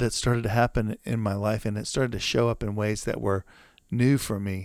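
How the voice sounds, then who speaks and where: A man with an American accent and a plain, everyday voice, fairly low in pitch, at a moderate pace, dry and close with no echo on a very clean recording with a silent background. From US South. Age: 50s. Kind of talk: casual interview.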